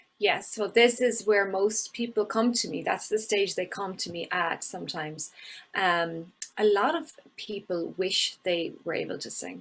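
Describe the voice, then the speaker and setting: In an Irish accent, a woman speaks at a fairly slow pace and a medium pitch. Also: ordinary pitch variation. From Ireland. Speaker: voice and singing coach. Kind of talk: podcast interview.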